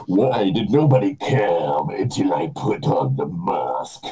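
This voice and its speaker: A man performs a put-on character voice at a medium pitch. He goes at a fairly slow pace while faint music plays in the background. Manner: menacing.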